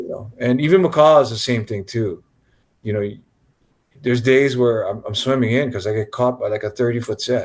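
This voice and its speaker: This man speaks fairly quickly with a Hawaiian accent, his voice somewhat breathy. His pitch sits in the middle range with ordinary variation. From Hawaii, Kaneohe. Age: 60s. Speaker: big wave surfer. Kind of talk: interview.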